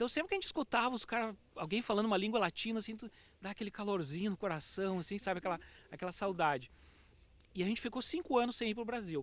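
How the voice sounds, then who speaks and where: A man with a southern Brazilian accent, high-pitched, with lively intonation and a very fast pace. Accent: southern Brazilian (gaúcho). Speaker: teacher, immigrant. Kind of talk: casual chat.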